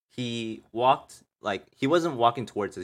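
A man with an unremarkable speaking voice and fairly low pitch is heard in a very clean recording with a silent background. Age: 20s. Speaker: podcast host, college student. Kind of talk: casual chat. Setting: live stream.

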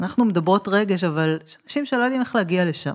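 This woman has a normal speaking voice, medium in pitch, and she talks at a fairly quick pace. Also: very clean recording, silent background. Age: 40s. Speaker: podcast host. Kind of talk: interview.

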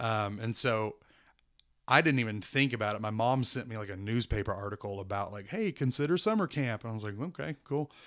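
This is a plain, everyday voice with an American accent and ordinary pitch variation. The pace is fairly quick, and the recording is very clean with a silent background. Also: man, medium pitch for a man. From Kansas and Houston, Texas. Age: 40. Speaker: church minister. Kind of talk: casual interview.

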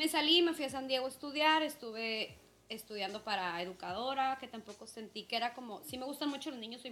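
Noticeable background noise fills the clip. Through it, a woman is talking. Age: 30s. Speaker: podcast co-host. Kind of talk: casual chat.

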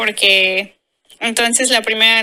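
A woman speaks in a bright, sharp tone with monotone, flat intonation, captured in a very clean recording against a silent background. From Mexico. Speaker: former au pair. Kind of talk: casual chat.

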